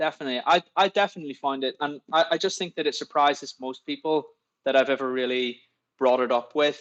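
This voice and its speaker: A man's fairly high voice at a very fast pace, with ordinary pitch variation, in a dry, close recording with no echo. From Northern Ireland. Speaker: dentist and investor. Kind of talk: casual interview chat. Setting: live online podcast. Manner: hesitant, repeats words.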